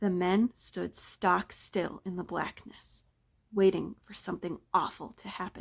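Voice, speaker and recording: At a fairly slow pace, a woman with a medium pitch speaks in monotone, flat intonation with vocal fry. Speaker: library staff member reading a story. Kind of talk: scary story reading.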